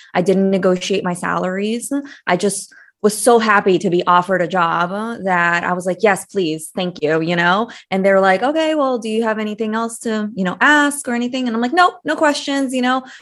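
Against a quiet background, a woman speaks in a normal speaking voice at medium pitch. Her intonation is lively and her pace fairly quick. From US (Brazilian-born, moved at 8). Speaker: money coach, former employment attorney. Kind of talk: interview.

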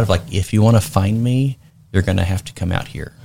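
A man with a fairly low, somewhat breathy voice speaks at a fairly quick pace. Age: 30s. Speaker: state legislator-elect. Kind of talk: interview. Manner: animated.

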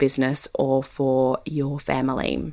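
A woman speaks with an Australian accent. Her tone is warm. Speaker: podcast host, business consultant. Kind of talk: solo podcast talk. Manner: warm, conversational with frequent laughs.

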